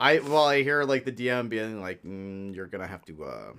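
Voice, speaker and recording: A man with an ordinary speaking voice, a medium pitch and lively intonation. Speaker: podcast co-host. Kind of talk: casual chat.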